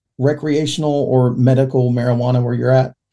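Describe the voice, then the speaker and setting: Speaking at a fairly quick pace, a man with an American accent has a dark, mellow tone that is somewhat breathy. The recording is very clean with a silent background. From Oklahoma, Oklahoma City area. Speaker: podcast host, recovering addict. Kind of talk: casual interview chat.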